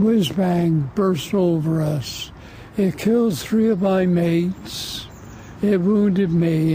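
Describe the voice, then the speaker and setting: The speech moves at a very slow pace with ordinary pitch variation and very even loudness. The sound is dry with no echo, with light background noise. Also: man. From England. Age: 80s+. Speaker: war veteran. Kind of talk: interview answer. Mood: somber, reflective. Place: garden.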